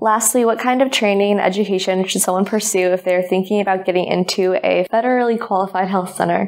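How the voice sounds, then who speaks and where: Very fast delivery with hardly any pauses and very even loudness, over noticeable background noise. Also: woman, medium pitch for a woman, fairly even intonation. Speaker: student co-host. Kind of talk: interview.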